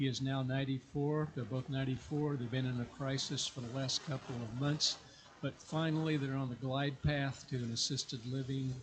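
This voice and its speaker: A man with a medium pitch and a somewhat breathy voice talks at a moderate pace in a monotone, flat manner. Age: 70s. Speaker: truck driver. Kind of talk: sharing joys in church service.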